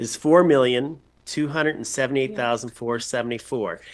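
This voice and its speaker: Against a quiet background, a man with an unremarkable speaking voice talks at a medium pitch with ordinary pitch variation. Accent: Canadian. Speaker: chief administrative officer. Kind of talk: council meeting discussion.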